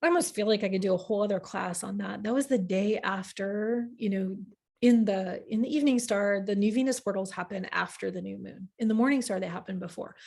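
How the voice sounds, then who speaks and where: This is a woman speaking at a medium pitch. Her pitch varies in an ordinary way. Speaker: astrology teacher. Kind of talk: live online class. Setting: livestream with chat. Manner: fast.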